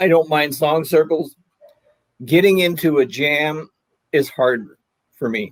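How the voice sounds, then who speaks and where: A man speaks at a very slow pace, his fairly high voice moving with ordinary pitch variation. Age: 70s. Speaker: autoharp player. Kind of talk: casual chat.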